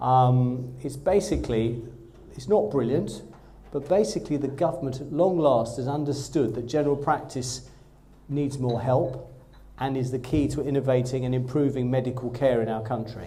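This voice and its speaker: A somewhat breathy man at medium pitch and moderate pace, with a slight Essex accent, ordinary pitch variation and audible room echo. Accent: slight Essex twang. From Essex, Southend-on-Sea. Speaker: GP and training program director. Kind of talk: presentation to trainee doctors. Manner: enthusiastic.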